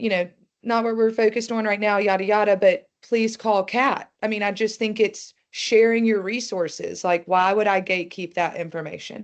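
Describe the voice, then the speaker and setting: A moderate pace in an ordinary speaking voice. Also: woman, quiet background. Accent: American. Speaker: nonprofit development director. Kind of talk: webinar panel conversation.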